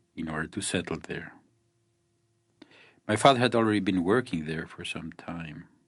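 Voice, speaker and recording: Against a quiet background, a soft-spoken man with a very deep, low pitch talks at a moderate pace with ordinary pitch variation, big swings in loudness and long, frequent pauses. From Mexico. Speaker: photographer. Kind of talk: scripted narration.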